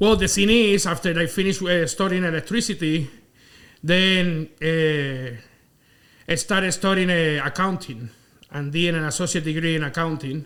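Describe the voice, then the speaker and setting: In a Spanish accent, a man speaks at a moderate pace, his voice high for a man with ordinary pitch variation. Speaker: electrical contractor, business owner. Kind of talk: casual interview.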